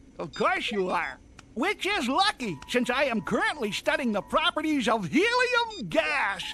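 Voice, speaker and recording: This is a cartoonish character voice set at a high pitch. Its pitch swings are very wide. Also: moderate pace. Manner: chatty, professorial.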